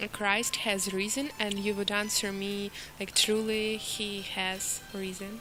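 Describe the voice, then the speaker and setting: Over noticeable background noise, a woman speaks at a medium pitch in a monotone, flat delivery. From Ukraine. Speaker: volunteer guest on radio show. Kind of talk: casual chat.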